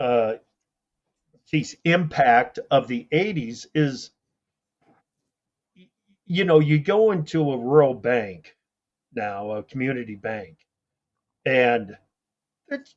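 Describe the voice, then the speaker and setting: In a Midwestern American accent, a man of medium pitch speaks at a very slow pace with lively intonation and long, frequent pauses. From rural Iowa. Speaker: agricultural radio host. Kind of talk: interview answer.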